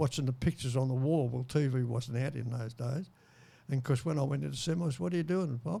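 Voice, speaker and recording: A man with an Australian accent, medium pitch, fairly even intonation, a somewhat breathy quality and a dark, mellow tone. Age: 90s. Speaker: war veteran. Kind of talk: interview. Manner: halting.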